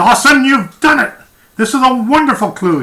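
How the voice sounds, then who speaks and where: Someone uses a put-on character voice with a fairly high pitch, delivered at a moderate pace. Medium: read story.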